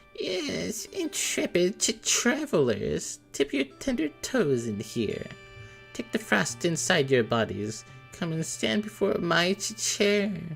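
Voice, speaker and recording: Clear music plays in the background. Over it comes a put-on character voice at a fairly slow pace. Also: man, high pitch for a man. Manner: soft, quiet, inviting.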